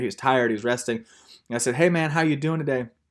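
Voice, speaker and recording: A man talks with a Texan accent. His pace is very fast. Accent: Texan American. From Texas. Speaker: missionary teacher. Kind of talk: lecture. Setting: video call. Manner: casual storytelling.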